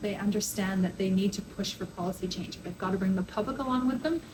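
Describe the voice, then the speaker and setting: A woman's medium-pitched voice with a Canadian accent at a very fast pace, over noticeable background noise. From Canada. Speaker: public health professor. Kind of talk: interview.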